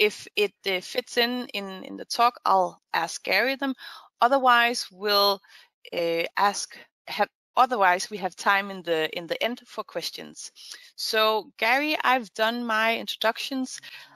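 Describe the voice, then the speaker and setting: A woman speaks fairly slowly in a fairly high pitch with a bright, sharp tone, ordinary pitch variation and big swings in loudness. The recording is very clean with a silent background and a dry, close sound with no echo. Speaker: online investor community host. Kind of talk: interview. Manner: halting, many restarts.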